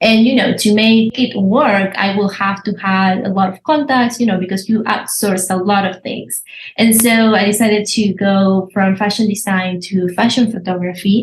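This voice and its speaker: A somewhat breathy woman speaks at a moderate pace with fairly even intonation and hardly any pauses. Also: medium pitch for a woman. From Argentina, Buenos Aires. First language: Spanish. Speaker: visual artist. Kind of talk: interview. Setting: podcast.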